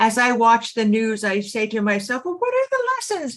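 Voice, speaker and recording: A woman with a fairly high pitch talks at a moderate pace, her pitch swinging very widely. Background noise is noticeable. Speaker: podcast host. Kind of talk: podcast interview.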